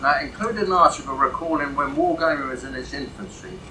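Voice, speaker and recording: A man with an English accent talks at a very fast pace, with audible room echo and noticeable background noise. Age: 70s. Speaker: wargaming author. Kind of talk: convention speech.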